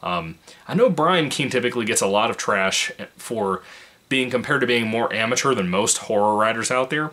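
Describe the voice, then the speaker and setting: Quiet and fairly quick, a man talks with lively intonation. Noticeable background noise is present. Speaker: book reviewer. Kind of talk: book review monologue. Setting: home apartment. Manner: keeping voice low, quiet.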